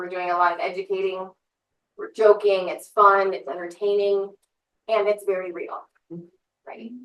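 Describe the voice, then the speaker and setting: A woman's medium-pitched voice at a moderate pace, with fairly even intonation, big swings in loudness and long, frequent pauses. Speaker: death doula, business owner. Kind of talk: presentation to a live audience; guided meditation. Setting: office space before an audience. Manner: soft-spoken.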